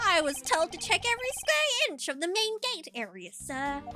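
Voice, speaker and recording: Faint music plays in the background. The speaker uses a put-on character voice at a moderate pace. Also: woman. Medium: game stream. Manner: loud, excitable, ends sentences with sir.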